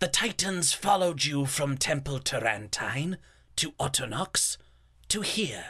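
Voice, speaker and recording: A man's put-on character voice, fairly high in pitch, at a fairly slow pace. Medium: audio drama. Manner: precise, calculating.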